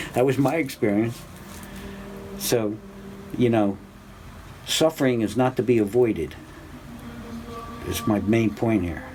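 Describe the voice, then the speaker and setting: A man speaks at a medium pitch with ordinary pitch variation, going fairly slowly with long, frequent pauses. Background noise is noticeable. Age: 60s. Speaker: religious teacher. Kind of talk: spiritual class talk. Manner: halting.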